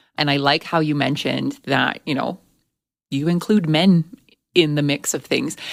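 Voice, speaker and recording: A woman with a very deep, low pitch, fairly even intonation and a moderate pace, with long, frequent pauses, on a very clean recording with a silent background. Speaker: podcast host. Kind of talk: podcast interview question.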